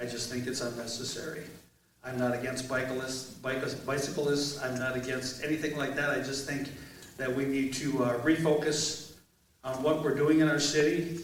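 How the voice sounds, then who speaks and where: Moderate pace and monotone, flat intonation amid noticeable background noise and audible room echo. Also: man, medium pitch for a man. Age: 60s. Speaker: mayoral candidate, Air Force veteran. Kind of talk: candidate forum introduction.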